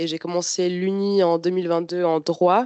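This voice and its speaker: A woman's fairly low voice, fairly even in intonation, at a fairly slow pace. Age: 20s. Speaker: university student. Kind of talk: informational presentation. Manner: hesitant, many fillers.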